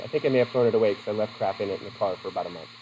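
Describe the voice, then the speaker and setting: Over noticeable background noise, a man talks at a very fast pace with lively intonation. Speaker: psychology teacher. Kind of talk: lecture. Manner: casual, digressive.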